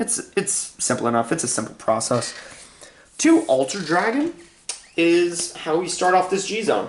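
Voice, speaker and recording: Clear background noise fills the recording. The talking proceeds at a moderate pace. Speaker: card game deck profiler. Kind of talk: casual tutorial.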